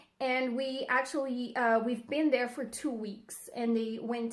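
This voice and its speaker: A woman's high voice in a French accent, fairly slow and with fairly even intonation. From France, near Lyon. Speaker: English teacher, vlogger. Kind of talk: casual vlog talk to camera. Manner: halting, many fillers.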